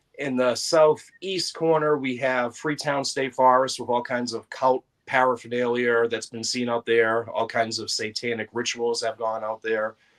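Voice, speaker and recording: A man with a Boston accent speaks at a moderate pace with hardly any pauses. His intonation is fairly even. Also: medium pitch for a man. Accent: Boston-area New England. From Massachusetts (Brockton). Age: 40s. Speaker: paranormal investigator. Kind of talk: podcast interview.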